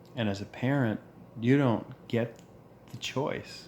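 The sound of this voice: Speaking at a slow pace, a man with a medium-pitched voice and a slightly mellow tone shows ordinary pitch variation.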